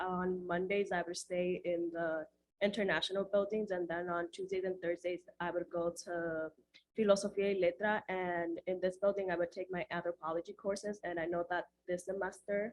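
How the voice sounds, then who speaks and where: In a Spanish accent, a woman speaks with monotone, flat intonation. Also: medium pitch for a woman, moderate pace. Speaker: student who studied abroad. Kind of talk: info session panel talk.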